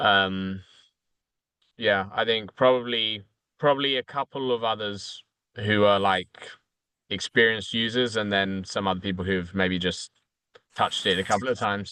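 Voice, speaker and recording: A man talks with a British accent at a fairly low pitch. His tone is bright and sharp, his intonation fairly even, and the sound dry and close with no echo. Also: quiet background. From United Kingdom. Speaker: consultant. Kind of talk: casual chat. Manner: halting, many fillers.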